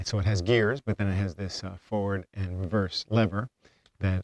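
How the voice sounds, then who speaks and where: In a very clean recording with a silent background and a dry, close sound without echo, a man mumbles at a moderate pace in a fairly low voice with fairly even intonation. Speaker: homesteader vlogger. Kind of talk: casual vlog talk. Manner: mumbling; halting.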